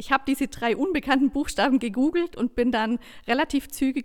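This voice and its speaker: In a very clean recording with a silent background, a woman with a high pitch talks at a very fast pace with ordinary pitch variation. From southern Germany. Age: 30s. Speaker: coach and trainer. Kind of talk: interview.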